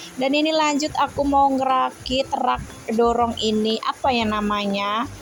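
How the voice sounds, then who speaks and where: A woman with a high pitch talks at a fairly slow pace with ordinary pitch variation. Her loudness stays very even over noticeable background noise. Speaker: housewife vlogger. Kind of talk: vlog voice-over narration. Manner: casual, chatty.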